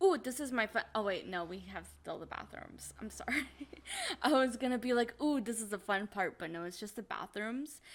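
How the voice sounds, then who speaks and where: A woman speaks at a moderate pace with a fairly high pitch and some vocal fry. Her intonation is lively, and her loudness swings widely. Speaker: gaming video creator. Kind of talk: game build commentary.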